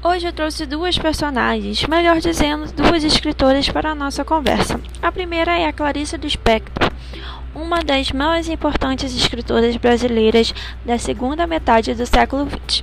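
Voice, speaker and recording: A woman talks at a moderate pace while noticeable background noise runs underneath. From Rio de Janeiro, Brazil. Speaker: student. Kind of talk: school podcast presentation. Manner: reading from a script.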